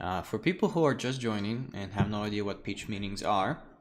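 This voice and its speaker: A fairly low male voice with a Russian accent at a fairly quick pace. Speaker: art teacher and livestream host. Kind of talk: online lecture livestream. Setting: live stream from home. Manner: casual, conversational with fillers.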